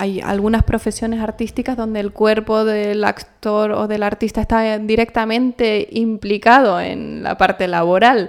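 Fairly slow speech from a woman with a fairly high voice. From Canary Islands, El Hierro. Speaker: actress. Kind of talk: interview.

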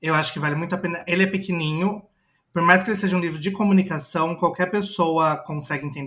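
With a strong interior São Paulo accent, a man speaks very fast in a high pitch, his tone bright and sharp and his intonation fairly even. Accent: caipira rolled R, strong. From interior of São Paulo state, Brazil. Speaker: advertising professional. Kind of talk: casual chat.

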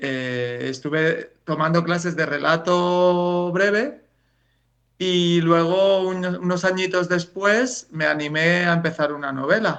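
A man with a Spanish accent talks at a very slow pace in a high pitch, with ordinary pitch variation. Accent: Peninsular Spanish. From Spain. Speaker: writer. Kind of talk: interview. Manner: hesitant, repeats words.

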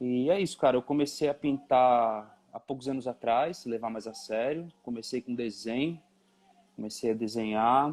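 At a medium pitch and moderate pace, a man talks in an unremarkable speaking voice with ordinary pitch variation. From São Paulo East Zone, Brazil. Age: 30s. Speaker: painter and sculptor. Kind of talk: casual interview. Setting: video call.

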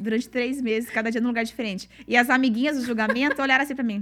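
Talking at a very fast pace, a woman with a fairly high pitch keeps a fairly even intonation on a very clean recording with a silent background. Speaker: podcast host. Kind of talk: casual chat.

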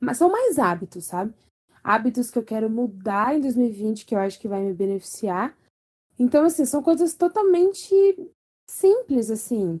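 Moderately paced, a woman with a dark, mellow tone speaks at a fairly high pitch with very wide pitch swings. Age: 20s. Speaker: podcast co-host. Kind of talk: casual chat.

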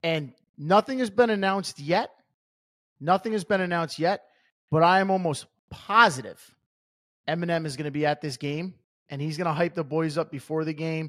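A man talks at a moderate pace with a fairly high pitch and ordinary pitch variation. The recording is very clean, with a silent background. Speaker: sports podcast co-host. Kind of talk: casual chat.

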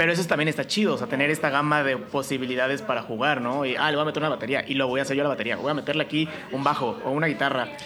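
Against noticeable background noise, a man with a fairly high voice and ordinary pitch variation talks at a very fast pace. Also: hardly any pauses. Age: 20s. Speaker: podcast host. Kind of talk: casual chat.

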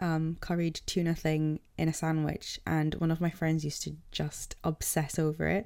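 A woman with a British accent speaks at a moderate pace. Her voice is very deep and low, with a dark, mellow tone and monotone, flat intonation. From England. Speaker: podcast co-host. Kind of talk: casual chat.

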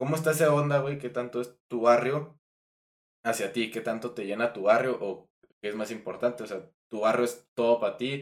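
Speaking at a moderate pace, a man has an unremarkable speaking voice with fairly even intonation. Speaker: podcast host. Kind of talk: casual chat.

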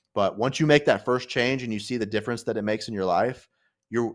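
Over a silent background in a very clean recording, a man with a plain, everyday voice talks at a fairly quick pace, medium pitch, and ordinary pitch variation. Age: 30s. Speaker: podcast host. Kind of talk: casual chat. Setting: home studio.

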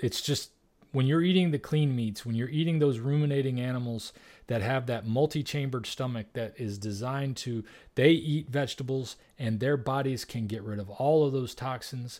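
The speaker is a man with a medium pitch. He talks at a moderate pace with ordinary pitch variation. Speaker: carnivore diet advocate. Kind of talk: interview.

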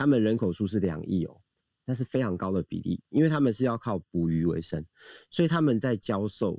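A man talks fairly quickly in a fairly low, dark, mellow voice with lively intonation. The sound is dry and close, with no echo. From Taiwan. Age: 40s. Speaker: swimming coach. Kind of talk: casual chat. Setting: Clubhouse audio room.

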